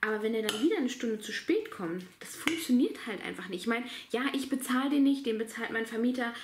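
A woman's high-pitched voice at a fairly quick pace, with ordinary pitch variation, light background noise, and audible room echo. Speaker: vlogger. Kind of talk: casual vlog chat. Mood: annoyed at late tiler. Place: home room. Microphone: phone near.

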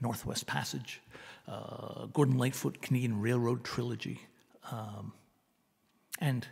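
A man with vocal fry at a fairly slow pace, with ordinary pitch variation and a quiet background. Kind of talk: casual song introduction. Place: home room. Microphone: studio mic.

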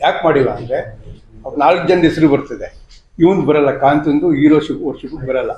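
In a room with audible echo, a man's somewhat breathy, fairly high voice keeps a fairly even intonation. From Karnataka, Channapatna area (Ramanagara district). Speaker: landowner in a court dispute. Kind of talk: press conference statement. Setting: press conference.

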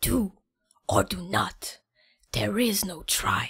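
A woman's put-on character voice, whispering at a very slow pace. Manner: inverted wise sayings.

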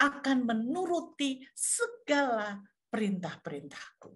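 Over a quiet background, a woman talks very slowly in a high pitch with very wide pitch swings. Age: 60s. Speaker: pastor. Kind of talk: sermon. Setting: video call. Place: home room. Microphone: webcam.

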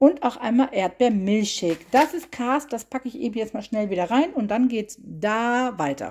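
A woman speaks at a moderate pace with hardly any pauses, her pitch fairly high. It is a normal speaking voice. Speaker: vlogger. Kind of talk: casual haul video narration. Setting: at car trunk. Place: kitchen. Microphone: phone near.

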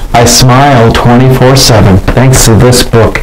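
A man's medium-pitched voice over noticeable background noise. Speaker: comedy channel host reading own picture book. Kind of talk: comedic mock bedtime story reading aloud. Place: bathroom. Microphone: lapel.

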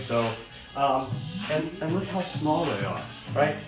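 Over clear background music, a man talks at a fairly slow pace with ordinary pitch variation. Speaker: fitness trainer. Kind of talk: tutorial. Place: home room. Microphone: phone near.

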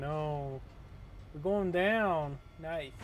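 A man talks with a fairly high pitch for a man. There is audible echo from the room. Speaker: gaming youtuber. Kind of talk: let's play commentary. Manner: casual, rambling thinking aloud.

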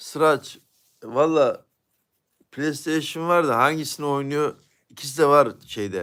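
Over a silent background on a very clean recording, a man with a fairly high voice and ordinary pitch variation speaks at a very slow pace, with long, frequent pauses. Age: 40s. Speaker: YouTube live streamer. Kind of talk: casual live-stream chat reading viewer comments.

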